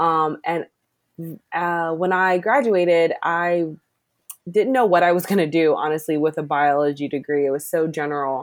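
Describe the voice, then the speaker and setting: On a very clean recording with a silent background, a woman with a Maryland accent speaks at a moderate pace and fairly low pitch, with ordinary pitch variation. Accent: Mid-Atlantic American (Maryland). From US, Maryland (Glen Burnie). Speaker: environmental program manager. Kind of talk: interview.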